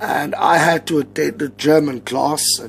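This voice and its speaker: In an Afrikaans accent, the speaker goes at a very slow pace over noticeable background noise. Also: man. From South Africa. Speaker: English teacher giving advice. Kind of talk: casual vlog tutorial. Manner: many fillers, hesitant.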